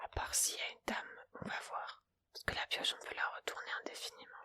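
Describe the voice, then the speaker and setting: Someone whispers at a moderate pace. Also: woman. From Montpellier, France. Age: 20s. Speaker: ASMR creator. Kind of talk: casual talk to camera while playing solitaire. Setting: home recording with a Blue Yeti microphone. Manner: casual, chatty, relaxed.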